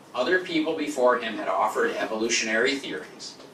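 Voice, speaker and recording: With audible room echo and noticeable background noise, a man speaks in an American accent at a moderate pace. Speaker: lecturer. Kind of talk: lecture. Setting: stage with audience.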